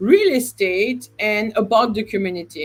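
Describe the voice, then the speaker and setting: A woman speaks with a non-native accent. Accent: noticeable non-native. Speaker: real estate agent. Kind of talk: live stream discussion. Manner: halting.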